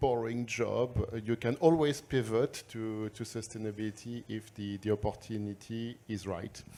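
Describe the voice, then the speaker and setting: Medium-pitched man in a strong French accent with a dark, mellow tone, in a very clean recording with a silent background. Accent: thick French. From France. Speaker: sustainable finance analyst. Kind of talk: panel discussion.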